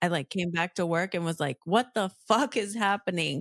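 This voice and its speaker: An ordinary speaking voice from a woman, fairly low in pitch and moderate in pace, dry and close with no echo in a very clean recording with a silent background. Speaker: podcast co-host. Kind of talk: casual chat.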